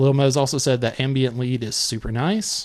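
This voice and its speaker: A man is speaking with a Southern US accent. His pitch sits at a medium level. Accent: Southern drawl. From Alabama, US South. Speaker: music reviewer, live stream host. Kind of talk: live stream song review. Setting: live stream.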